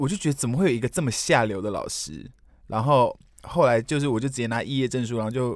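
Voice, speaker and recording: On a very clean recording with a silent background, a man of medium pitch speaks at a very fast pace with ordinary pitch variation. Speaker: podcast co-host. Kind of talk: casual chat.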